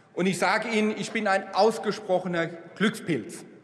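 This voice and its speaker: This man's voice is high in pitch, moving at a fairly slow pace with fairly even intonation. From Germany, Rhineland-Palatinate. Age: 60s. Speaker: politician. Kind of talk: parliamentary speech. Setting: parliament chamber. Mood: warm, reflective, grateful. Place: hall. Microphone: podium.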